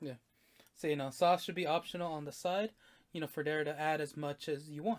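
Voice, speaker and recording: He talks at a fairly quick pace, pitched fairly high for a man, with fairly even intonation. It is a plain, everyday voice. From Mexican-American, US. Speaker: podcast co-host. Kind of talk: casual chat.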